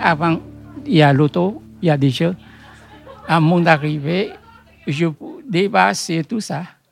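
With music in the background, a man with a Vietnamese accent speaks very slowly at a high pitch with ordinary pitch variation and long, frequent pauses. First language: Vietnamese (speaking French). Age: old. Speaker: bookseller. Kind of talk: interview. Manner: halting.

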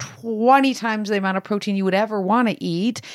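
In a Canadian accent, a woman with a normal speaking voice and a fairly high pitch speaks at a moderate pace with fairly even intonation, in a dry, close sound with no echo and a very clean recording with a silent background. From Canada, Italian immigrant family. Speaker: fitness coach and co-author. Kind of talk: casual chat.

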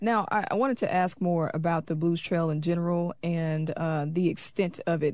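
An ordinary speaking voice belongs to a woman with an American accent, whose fairly low pitch shows ordinary variation at a moderate pace against a quiet background. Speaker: radio host. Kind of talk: radio interview. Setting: studio.

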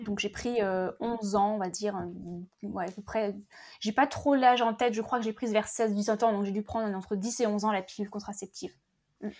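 In a very clean recording with a silent background, a woman with a plain, everyday voice speaks at a fairly high pitch and moderate pace with fairly even intonation. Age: 30s. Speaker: podcaster and former engineer. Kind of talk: testimony.

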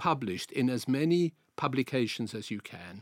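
A man with a South African accent is heard in a dry, close recording with no echo. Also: very clean recording, silent background. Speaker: journalist. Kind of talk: interview.

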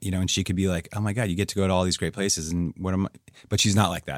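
A man with an American accent speaks in a very deep, low pitch with a monotone, flat intonation. The recording is very clean, with a silent background. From US Northeast, New Hampshire. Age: 50s. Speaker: pro skier and ski guide. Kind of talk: interview. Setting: studio.

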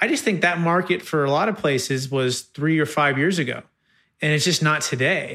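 In a very clean recording with a silent background, a man with an American accent speaks with ordinary pitch variation. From US West Coast, Sacramento area, California. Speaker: tax strategy business founder. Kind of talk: interview. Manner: hesitant, many fillers.

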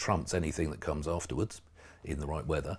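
Somewhat breathy, a man speaks with a southern English accent. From southern England, East Berkshire. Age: 50s. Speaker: classic car magazine editor. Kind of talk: casual interview. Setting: studio.

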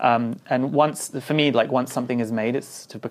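In a London accent, a man speaks at a medium pitch and a moderate pace with ordinary pitch variation, on a very clean recording with a silent background. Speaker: designer and architect. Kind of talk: interview. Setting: at home.

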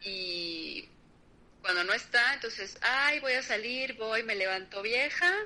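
Very slow delivery from a woman with a fairly high voice. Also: lively intonation. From Mexico. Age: 30s. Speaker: podcast guest. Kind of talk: casual chat.

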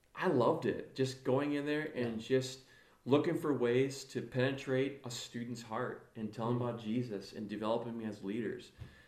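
A man's medium-pitched voice in an American accent at a moderate pace, with audible room echo. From northern Illinois, US Midwest. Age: 40s. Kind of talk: casual interview chat. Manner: animated.

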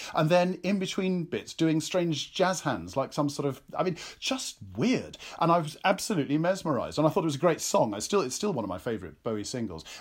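A man with an English accent speaks at a fairly high pitch with very wide pitch swings and vocal fry. The recording is very clean, with a silent background. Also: fairly quick pace. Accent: English (RP-leaning). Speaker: actor and author. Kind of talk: interview chat.

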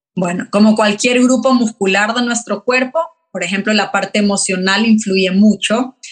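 Somewhat breathy, a woman speaks at a moderate pace. Her intonation is fairly even. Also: fairly high pitch for a woman. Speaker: physiotherapist. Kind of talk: expert interview.

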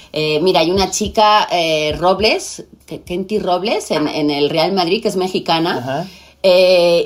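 Fairly low in pitch, a woman speaks at a fairly slow pace. Her pitch varies in an ordinary way. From Spain. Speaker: TV presenter. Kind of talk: casual chat.

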